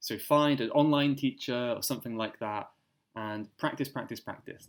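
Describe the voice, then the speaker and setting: Speaking at a moderate pace with a British accent, a man keeps a medium pitch and fairly even intonation. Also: very clean recording, silent background. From Cornwall, southwest England. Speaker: English teacher. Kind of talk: interview answer.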